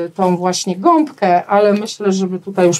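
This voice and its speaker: This is a normal speaking voice at a moderate pace. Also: woman. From rural Poland. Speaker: florist. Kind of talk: casual interview. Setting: studio.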